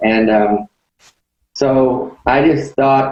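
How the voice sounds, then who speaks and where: Speaking in a medium pitch, a man keeps his intonation fairly even. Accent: Southern US. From Arkansas. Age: 60s. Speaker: public speaker, former pastor. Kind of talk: talk. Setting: video call.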